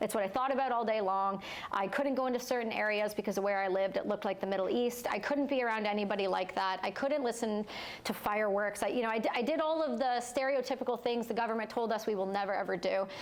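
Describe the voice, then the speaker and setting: At a very fast pace, a woman with a Canadian accent speaks with ordinary pitch variation and very even loudness amid noticeable background noise. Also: fairly high pitch for a woman. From Canada, Ontario. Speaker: war veteran and entrepreneur. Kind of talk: personal testimony in live interview.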